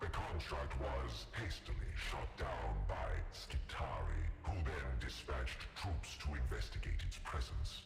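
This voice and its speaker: Loud music plays behind a man who speaks in a solemn tone at a fairly slow pace, with hardly any pauses, very even loudness and a slight echo. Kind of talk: epic lore narration. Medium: game stream. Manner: solemn, measured.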